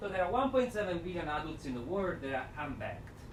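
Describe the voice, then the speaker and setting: In a strong Italian accent, a man speaks at a fairly high pitch with very wide pitch swings. Audible room echo and noticeable background noise surround him. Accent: thick Italian. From Italy. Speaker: development finance speaker. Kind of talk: seminar talk. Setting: lecture room with audience, speaking without mic. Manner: energetic. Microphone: no microphone, may be hard to hear.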